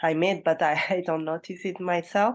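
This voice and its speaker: A woman with a Malagasy accent speaks in a fairly low pitch with fairly even intonation against a quiet background. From Madagascar. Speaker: English learner. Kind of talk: casual chat. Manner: hesitant, many fillers.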